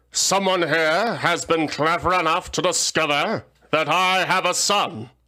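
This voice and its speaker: A man puts on a character voice, pitched high. The recording is very clean with a silent background. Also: moderate pace. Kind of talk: regal. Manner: threatening.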